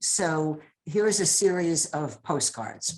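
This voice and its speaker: Speaking very slowly, a woman has a fairly low pitch and ordinary pitch variation. She talks with an American accent. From New York. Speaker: poet. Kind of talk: poetry reading.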